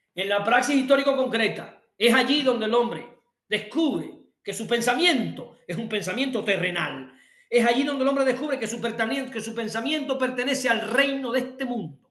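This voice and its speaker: A man's animated, extremely high voice at a moderate pace, with ordinary pitch variation and audible room echo. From Cuba. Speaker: workshop instructor. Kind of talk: lecture.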